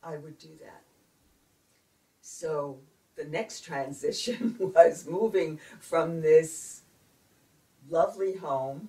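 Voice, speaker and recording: A woman's fairly low, dark and mellow voice with an American accent, somewhat breathy, with ordinary pitch variation, a very slow pace and long, frequent pauses. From Brooklyn, New York. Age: 70s. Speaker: retired speech pathologist. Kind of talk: interview answer.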